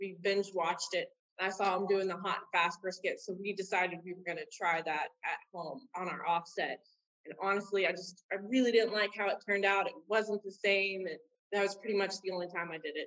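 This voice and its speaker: A woman with an American accent and a plain, everyday voice speaks fairly quickly at a medium pitch with fairly even intonation. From South Texas (Corpus Christi area). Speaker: pitmaster and chef. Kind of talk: casual interview.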